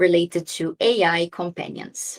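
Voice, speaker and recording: A woman of medium pitch with a Brazilian accent and fairly even intonation, recorded with a dry, close sound and no echo. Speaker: lawyer and AI ethicist, philosopher speaker. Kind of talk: online talk / webinar presentation. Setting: video call webinar.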